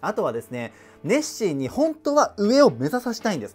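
A man talks at a fairly quick pace with a high pitch and very wide swings up and down. Faint music plays in the background. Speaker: online tutor / educational YouTuber. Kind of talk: educational lecture to camera. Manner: conversational, explanatory. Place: home room.

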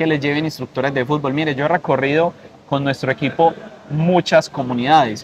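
The speech moves at a fairly quick pace. Light background noise can be heard. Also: man. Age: 20s. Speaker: political candidate; candidate. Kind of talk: interview; interview answer. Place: garden. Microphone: lapel.

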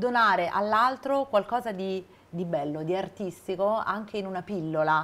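With a plain, everyday voice, a woman talks at medium pitch and a moderate pace with lively intonation. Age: 40s. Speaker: TV presenter. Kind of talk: TV interview; scripted intro. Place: studio. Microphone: lapel.

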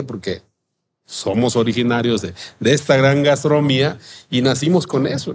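Somewhat breathy, a man talks at a moderate pace over light background noise. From Mexico, Guerrero coast. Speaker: chef and restaurant owner. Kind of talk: interview, casual chat. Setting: outdoor terrace. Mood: relaxed storytelling with quoted dialogue. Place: cafe. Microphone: studio mic.

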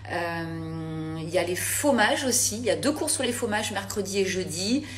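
There is light background noise as a woman speaks. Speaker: cooking host on a live stream. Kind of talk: casual live chat. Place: kitchen. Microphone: phone near.

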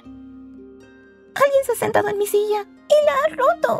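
A put-on character voice at an extremely high pitch, with very wide pitch swings, a fairly slow pace and faint music in the background.

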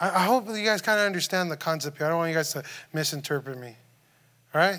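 A man talks very fast at a high pitch in a bright, sharp tone. Pitch variation is ordinary, and the background is quiet. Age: 30s. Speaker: youth preacher. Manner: earnest and informal, with frequent false starts and repeated words; direct questioning of the audience, reassuring tone. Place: church.

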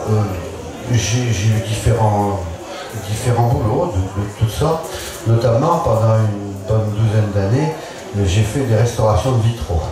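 A man's voice in strong room echo with noticeable background noise. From Bourbonnais, central France. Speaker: painter. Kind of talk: panel discussion. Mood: relaxed storytelling. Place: tent.

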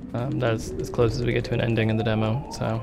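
A man speaks at a fairly quick pace. Behind him, music plays in the background. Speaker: speedrunner. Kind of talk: casual gameplay commentary.

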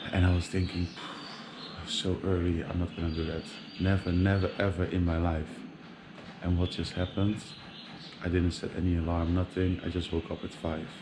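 A man's very deep, low, monotone voice at a moderate pace, with long, frequent pauses and noticeable background noise. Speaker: travel vlogger. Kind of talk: casual vlog chat. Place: street. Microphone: phone near.

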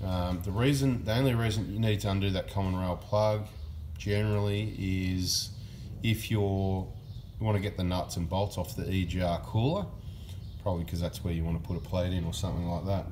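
Somewhat breathy and very deep, a man's dark, mellow tone shows ordinary pitch variation over light background noise. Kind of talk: tutorial. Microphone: phone near.

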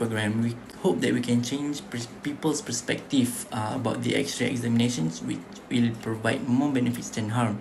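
Faint music sits behind the voice. At a moderate pace, a man talks with ordinary pitch variation. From Malaysia. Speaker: student; presenter. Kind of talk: class presentation. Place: home room. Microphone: webcam.

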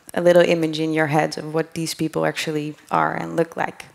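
A woman against a quiet background. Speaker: conference speaker. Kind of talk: lecture. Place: hall. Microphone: headset.

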